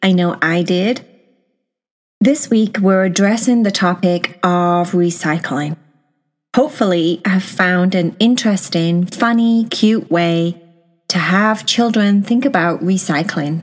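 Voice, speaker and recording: Very slowly, a woman speaks in a soothing, gentle tone at a medium pitch, with ordinary pitch variation and very even loudness. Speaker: podcast host and storyteller. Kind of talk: bedtime story. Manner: soft, slow, soothing; gentle, storytelling.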